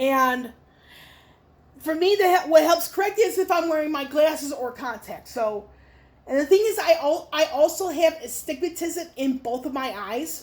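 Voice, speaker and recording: A woman speaks in an extremely high pitch with a slight New Jersey accent. Her intonation is lively and her pace moderate. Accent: very light New Jersey. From Chicago, Illinois. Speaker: YouTuber. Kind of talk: Q&A vlog. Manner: halting, many fillers.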